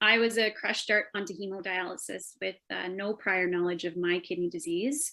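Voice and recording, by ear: A woman speaks at a moderate pace with a bright, sharp tone and fairly low pitch. Her intonation stays fairly even, with some vocal fry.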